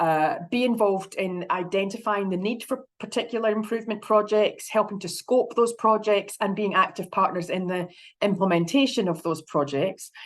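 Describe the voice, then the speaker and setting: A woman speaks in a Scottish accent at a medium pitch. She uses ordinary pitch variation and hardly any pauses. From Scotland. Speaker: health consumer advocate. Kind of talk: conference presentation. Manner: fast.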